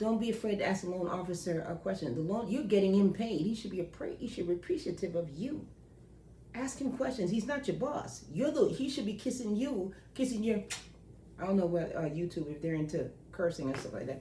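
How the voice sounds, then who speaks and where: A woman with an American accent speaks at a medium pitch in an animated tone, with very wide pitch swings. Room echo is audible. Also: fairly quick pace. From New York. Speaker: loan processor. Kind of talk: casual advice monologue.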